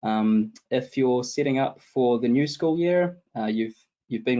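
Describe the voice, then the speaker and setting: A man speaks with a New Zealand accent. His pace is moderate. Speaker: tech support consultant. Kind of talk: webinar interview. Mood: calm, explanatory. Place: home room. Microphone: video call.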